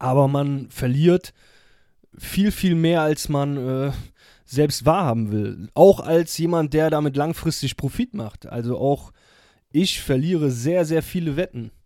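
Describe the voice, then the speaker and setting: Very slow speech from a man with a fairly high pitch and a dark, mellow tone, ordinary pitch variation, on a very clean recording with a silent background. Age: 30s. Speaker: podcast host, sports bettor. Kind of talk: solo monologue podcast. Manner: casual, many fillers and hesitations.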